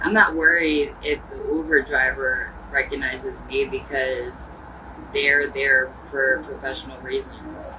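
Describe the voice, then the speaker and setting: A woman talks fairly slowly, and noticeable background noise is present throughout. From Ohio. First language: American Sign Language. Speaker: livestreamer. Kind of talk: casual chat.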